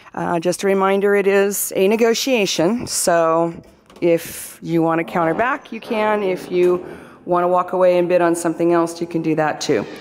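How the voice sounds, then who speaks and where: A woman speaks at a moderate pace with fairly even intonation, her voice dry with no echo over light background noise. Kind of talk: property tour narration. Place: home room. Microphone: phone near.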